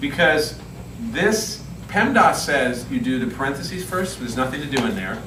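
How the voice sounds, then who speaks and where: Over noticeable background noise and audible room echo, a man speaks at a fairly quick pace with lively intonation. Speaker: math teacher. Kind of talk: classroom lesson. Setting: classroom with students.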